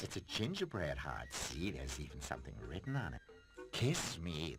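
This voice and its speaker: Over clear background noise, a man puts on a cartoonish character voice with a smug tone at a moderate pace. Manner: smug, teasing.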